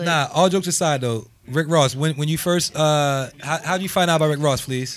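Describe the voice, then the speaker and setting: A man with a normal speaking voice and a fairly high pitch talks at a moderate pace with fairly even intonation, recorded very cleanly against a silent background. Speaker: podcast co-host.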